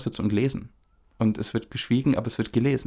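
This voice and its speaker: A man with a dark, mellow tone and medium pitch talks very fast in a flat monotone on a very clean recording with a silent background. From Upper Franconia, Germany. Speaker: podcast co-host, screenwriting. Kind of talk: casual conversation.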